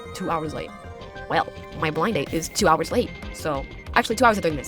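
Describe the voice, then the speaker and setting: A woman speaks at a very fast pace with music playing in the background. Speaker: game streamer. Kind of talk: reading a visual novel aloud with commentary. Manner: casual, chatty.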